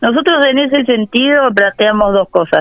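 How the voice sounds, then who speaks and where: Lively intonation over music in the background. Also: woman. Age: 30s. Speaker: policy advisor. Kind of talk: interview. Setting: phone call.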